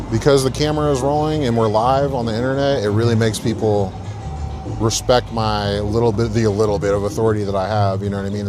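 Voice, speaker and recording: A man with a fairly low voice talks at a very fast pace with ordinary pitch variation, music playing in the background and audible room echo. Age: 30s. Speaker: bouncer livestreamer. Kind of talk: casual live stream chat.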